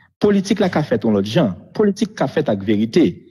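On a very clean recording with a silent background, a man's dark, mellow, somewhat breathy voice moves through very wide pitch swings. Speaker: former prime minister. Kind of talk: interview. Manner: halting.

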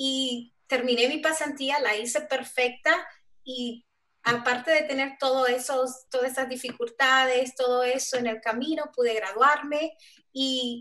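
A woman's high, bright and sharp voice, raised and projected, with monotone, flat intonation at a fairly slow pace. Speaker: software developer; panelist. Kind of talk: panel discussion. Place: home room. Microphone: video call.

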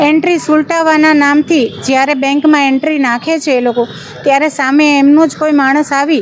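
A woman speaks at a high pitch with monotone, flat intonation. Noticeable background noise runs underneath. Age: 50s. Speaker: harassment victim. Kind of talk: testimony. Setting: outside city court.

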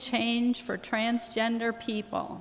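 A woman is speaking here. She goes at a fairly slow pace. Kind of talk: church announcements. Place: church. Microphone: podium.

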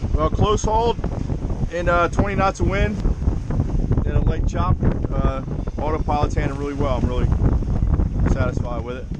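Loud background noise sits under a dry sound with no echo. The speaker keeps a moderate pace, with long, frequent pauses. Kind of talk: casual vlog chat. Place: boat. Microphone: phone near.

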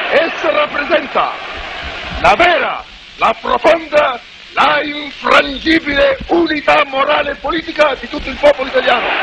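Over noticeable background noise, a man speaks with long, frequent pauses. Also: moderate pace. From Italy. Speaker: political leader giving a public speech. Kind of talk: political speech to a crowd. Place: street. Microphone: podium.

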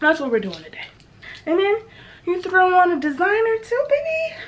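Very wide pitch swings run through what the woman says. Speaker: vlogger. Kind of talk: casual vlog chat. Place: home room. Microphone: camera far.

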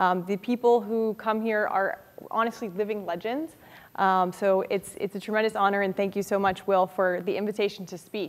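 A woman with an unremarkable speaking voice talks at a moderate pace, her medium pitch held in fairly even intonation. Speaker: author; guest. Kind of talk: lecture. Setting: stage with audience. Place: classroom.

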